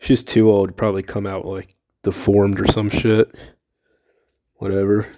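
In a very clean recording with a silent background, a man with a fairly low pitch and a dark, mellow tone speaks monotone and flat at a moderate pace, leaving long, frequent pauses. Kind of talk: casual comedic monologue. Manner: casual, self-deprecating, filler-heavy.

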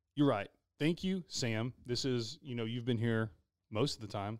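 In a Texas accent, a man speaks at a moderate pace on a very clean recording with a silent background. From Texas, Glen Rose. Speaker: podcast host. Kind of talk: casual chat.

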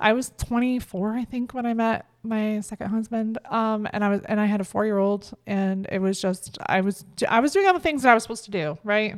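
In a plain, everyday voice, a woman speaks at a fairly quick pace with hardly any pauses, at a fairly high pitch with ordinary pitch variation. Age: 30s. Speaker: podcast co-host. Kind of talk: casual chat.

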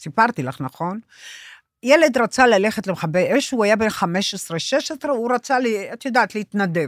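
A woman's fairly high voice makes very wide pitch swings on a very clean recording with a silent background. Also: fairly slow pace, dry, close sound with no echo. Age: old. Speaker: therapist. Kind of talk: casual chat.

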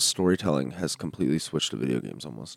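Heard in a very clean recording with a silent background, a man with a Canadian accent speaks with lively intonation. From Canada. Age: 30s. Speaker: musician. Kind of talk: casual chat.

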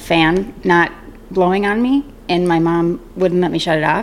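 A woman at a medium pitch, moderate pace, music in the background. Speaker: podcast guest, mother of the host. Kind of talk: casual chat. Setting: home recording.

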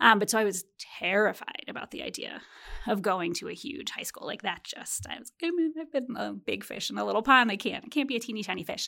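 Very fast speech in an American accent, with lively intonation, vocal fry, a bright, sharp tone and big swings in loudness. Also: woman, fairly high pitch for a woman. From US Midwest, Chicago. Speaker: developmental psychologist, professor. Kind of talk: interview conversation.

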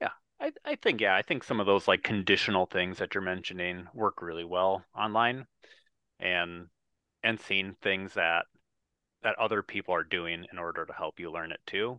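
With an American accent, a man speaks at a very deep, low pitch and a moderate pace, keeping his intonation fairly even. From US Midwest, Wisconsin. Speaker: podcast host. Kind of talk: casual interview chat. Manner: halting, many fillers and repeats.

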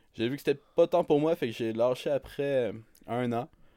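Dry, close and free of echo, a very clean recording with a silent background captures a man's dark, mellow tone at a moderate pace. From Quebec North Shore, Innu communities. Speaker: podcast co-host. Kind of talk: casual chat.

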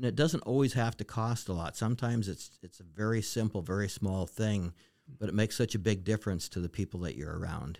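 In a very clean recording with a silent background, a man with an American accent talks at a very fast pace, his pitch fairly low with ordinary pitch variation. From Western Montana. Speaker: retired restaurant owner. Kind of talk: casual interview.

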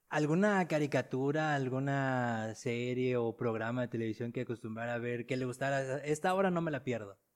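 Delivered at a moderate pace with hardly any pauses and ordinary pitch variation, the speech sits on a very clean recording with a silent background. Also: man, medium pitch for a man. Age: 30s. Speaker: podcast host. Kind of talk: interview. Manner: halting.

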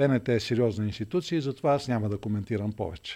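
In a very clean recording with a silent background, a man at medium pitch talks fairly quickly in a dark, mellow tone with ordinary pitch variation. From Bulgaria, Vidin. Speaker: politician, mayoral candidate. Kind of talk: interview.

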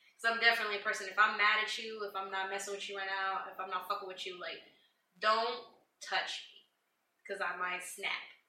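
Fairly quick, monotone, flat speech from a woman at medium pitch, with big swings in loudness and audible room echo. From Puerto Rican family background. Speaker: host's wife. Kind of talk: casual chat.

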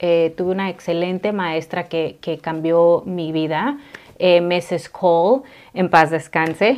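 Very slow speech from a woman at a medium pitch. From Mexico, raised in California and Texas from age 7. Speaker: working mother, immigrant. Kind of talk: interview.

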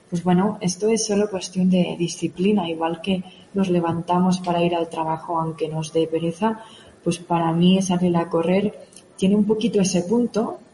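A woman's fairly low voice at a moderate pace, with fairly even intonation and noticeable background noise. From Catalonia, Spain (Òdena, near Igualada). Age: young. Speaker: mountain runner and fitness coach. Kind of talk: radio interview.

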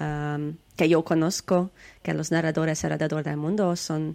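A woman speaks with a Hungarian accent. Her pace is fairly slow. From Hungary. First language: Hungarian (speaking Spanish). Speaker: storyteller and folklore researcher. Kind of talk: interview. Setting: video call. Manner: halting.

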